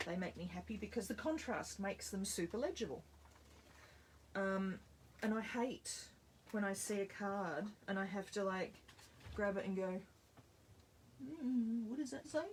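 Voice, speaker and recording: Speaking at a moderate pace with long, frequent pauses, a woman with an Australian accent has a medium pitch. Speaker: card-making instructor. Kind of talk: live tutorial. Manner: loud; animated.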